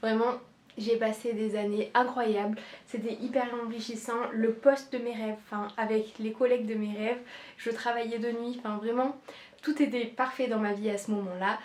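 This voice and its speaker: Her intonation monotone and flat, a woman speaks at a moderate pace in a fairly high pitch. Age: 20s. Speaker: nurse and content creator. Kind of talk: casual vlog introduction.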